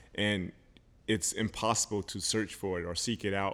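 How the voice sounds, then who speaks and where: A man with an American accent, a fairly low pitch and fairly even intonation. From South Carolina. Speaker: podcast guest. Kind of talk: casual chat. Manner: halting.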